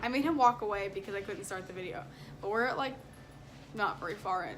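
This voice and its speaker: Through noticeable background noise and audible room echo, a woman talks very fast at a fairly high pitch with lively intonation. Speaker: family vlogger. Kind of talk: casual vlog talk.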